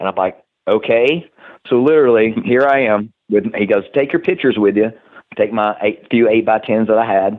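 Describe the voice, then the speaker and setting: This man speaks with a Tennessee accent at a medium pitch. His pace is moderate, with ordinary pitch variation. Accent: Southern US, Tennessee. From Tennessee, US South. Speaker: professional wrestler and personal trainer. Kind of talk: casual podcast interview.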